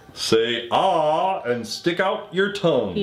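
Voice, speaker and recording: A man puts on a character voice pitched high. He delivers it at a very slow pace. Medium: read story. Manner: brisk.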